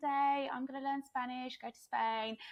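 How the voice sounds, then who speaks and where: Speaking with an English accent, a woman keeps to a moderate pace. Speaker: digital nomad business coach. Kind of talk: podcast interview.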